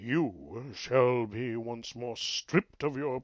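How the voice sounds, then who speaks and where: A man uses a put-on character voice at a very slow pace. Hissing can be heard over a quiet background. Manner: menacing, hissing.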